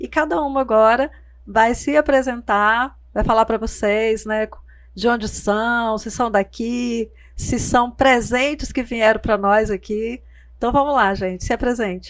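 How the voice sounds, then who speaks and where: A woman with an unremarkable speaking voice, a fairly high pitch and fairly even intonation. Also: fairly slow pace. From Porto Velho, Rondônia, Brazil. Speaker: podcast host. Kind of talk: podcast interview.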